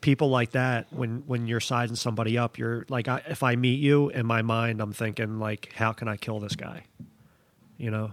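A man's plain, everyday voice, medium in pitch, at a moderate pace with fairly even intonation. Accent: American. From Philadelphia. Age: 40s. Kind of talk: casual interview chat.

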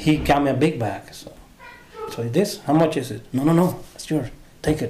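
A man with a Honduran accent is heard over noticeable background noise. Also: fairly high pitch for a man, ordinary pitch variation, moderate pace. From Honduras. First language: Spanish. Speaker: translator. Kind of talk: casual interview, personal storytelling.

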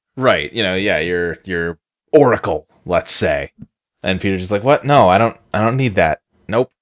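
A man with a plain, everyday voice talks at a moderate pace, his pitch fairly low and his intonation lively. The sound is dry and close, with no echo. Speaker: podcast co-host. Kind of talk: casual banter, movie review podcast. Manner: relaxed, joking.

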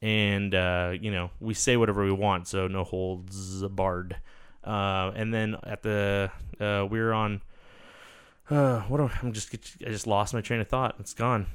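At a fairly slow pace, a man with an unremarkable speaking voice talks at a fairly low pitch with fairly even intonation. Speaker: podcast co-host. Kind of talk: casual banter, swearing. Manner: rambling, frequent interruptions.

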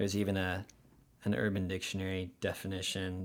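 This man's voice is very deep and low, with monotone, flat intonation. He talks at a fairly quick pace. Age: 20s. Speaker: podcast guest. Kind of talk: casual chat. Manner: articulate.

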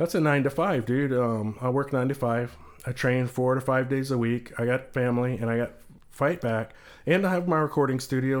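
A man talks in a plain, everyday voice with an American accent, at a medium pitch with ordinary variation. The recording is very clean, with a silent background. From Texas. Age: 40s. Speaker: CBD company owner. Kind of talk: casual chat.

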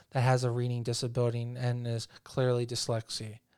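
The recording is very clean, with a silent background. A man with an American accent speaks at medium pitch and a fairly quick pace. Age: 30s. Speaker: podcast host and photographer. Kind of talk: interview. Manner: halting.

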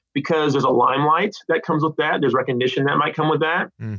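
Someone with an American accent talks in an unremarkable speaking voice with ordinary pitch variation. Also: man. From California. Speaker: theology professor. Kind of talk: interview.

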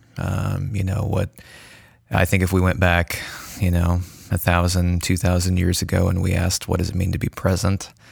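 With a very deep, low pitch, a man speaks at a moderate pace in a somewhat breathy voice with monotone, flat intonation. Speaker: podcast host. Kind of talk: casual discussion. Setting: studio.

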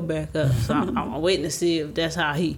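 Vocal fry runs through a woman's voice as she talks at a very fast pace. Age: 30s. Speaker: sister of the deceased. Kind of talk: casual chat.

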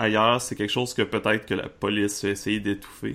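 The pace here is moderate. The speaker is a man. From Quebec, Charlevoix. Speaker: game master. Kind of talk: tabletop roleplaying game narration.

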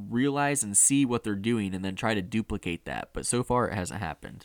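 Lively intonation marks a plain, everyday voice at a fairly quick pace. The sound is dry and close, with no echo. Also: man. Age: 20s. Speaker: motorsport podcast host. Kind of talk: casual chat. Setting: remote call.

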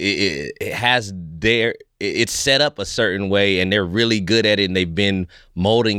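Speaking with an American accent, a man with a fairly low pitch and a bright, sharp tone comes through in a very clean recording over a silent background. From California (Fresno), US. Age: 30s. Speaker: stand-up comedian. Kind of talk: casual interview chat. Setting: studio.

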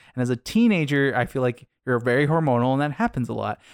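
Speaking very fast with an American accent, a man uses a medium pitch and ordinary pitch variation, in a very clean recording with a silent background and a dry, close sound with no echo. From Arizona. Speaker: podcast host. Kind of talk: casual chat; show outro.

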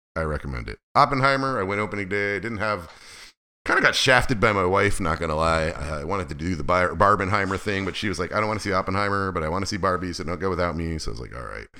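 With a very deep, low pitch and vocal fry, a man speaks at a very fast pace with lively intonation. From Alaska. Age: 50s. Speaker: podcast host. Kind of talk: casual monologue. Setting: home office.

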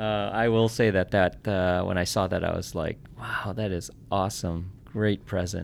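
A man with a fairly low pitch speaks at a moderate pace in a monotone, flat way. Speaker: podcast host. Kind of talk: interview. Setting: studio.

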